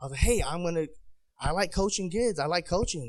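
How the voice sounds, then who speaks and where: An American accent from a man. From San Diego, California. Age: 30s. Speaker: army veteran and boxing coach. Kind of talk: panel speech. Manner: casual, hesitant.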